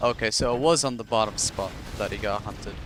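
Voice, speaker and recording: The soft-spoken voice moves at a moderate pace with ordinary pitch variation. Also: man. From Egypt, Cairo. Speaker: gaming streamer and caster. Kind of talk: live game commentary and casual stream chat. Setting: live stream.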